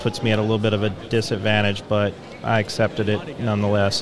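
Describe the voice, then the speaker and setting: There is audible room echo and noticeable background noise. Through it, a man talks at a medium pitch and a moderate pace. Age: 30s. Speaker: former Jehovah's Witness. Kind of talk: testimony.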